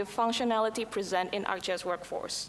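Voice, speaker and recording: Over noticeable background noise, a woman with an Indonesian accent speaks at a fairly quick pace. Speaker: conference presenter. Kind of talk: conference presentation.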